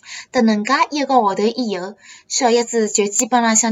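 A normal speaking voice from a woman, fairly high in pitch, at a moderate pace. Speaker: student studying abroad. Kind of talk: scripted monologue.

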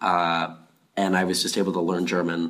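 At a moderate pace, a man speaks in a very deep, low voice. His delivery is a flat monotone. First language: Afrikaans (speaking Chinese). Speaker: university student. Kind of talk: interview answers. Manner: halting in Chinese.

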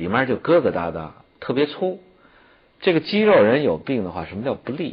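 A man of medium pitch with vocal fry, very wide pitch swings, big swings in loudness, a fairly quick pace and long, frequent pauses. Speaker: traditional Chinese medicine teacher. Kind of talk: educational TV talk.

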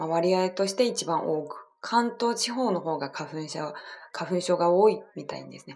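With a Chinese accent, a woman talks at a fairly slow pace in a fairly low voice, her intonation lively. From China. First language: Chinese (speaking Japanese). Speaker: podcast host. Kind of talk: bilingual casual talk. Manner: halting, many fillers.

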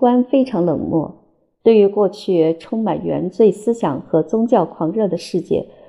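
Lively in intonation, a woman with an ordinary speaking voice talks at a medium pitch and a fairly slow pace, with hardly any pauses. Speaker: audiobook narrator. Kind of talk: reading aloud.

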